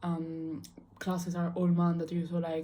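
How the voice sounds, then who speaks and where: Woman with an Italian accent, fairly low in pitch, dark, mellow and somewhat breathy, flat monotone intonation, moderate pace, audible room echo. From Italy. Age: 18. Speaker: student vlogger. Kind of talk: casual monologue vlog. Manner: casual, many fillers.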